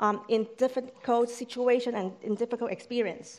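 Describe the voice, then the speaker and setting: A woman with a non-native accent talks at a moderate pace and a high pitch. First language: not English. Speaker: church staff member, lay preacher. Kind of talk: sermon. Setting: church service with congregation.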